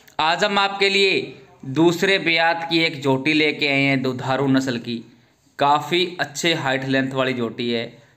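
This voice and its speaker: Speaking at a very slow pace, a man keeps to ordinary pitch variation. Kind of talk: sales commentary. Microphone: phone near.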